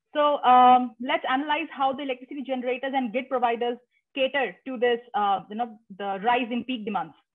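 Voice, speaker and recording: Fairly quick speech with ordinary pitch variation against a quiet background. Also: woman, high pitch for a woman. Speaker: graduate student; presenter. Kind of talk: presentation. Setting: video call.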